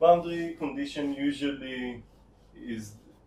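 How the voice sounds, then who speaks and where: The speaker has an Israeli accent. The pace is very slow. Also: man. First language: Hebrew. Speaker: teaching assistant. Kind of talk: tutorial. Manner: halting.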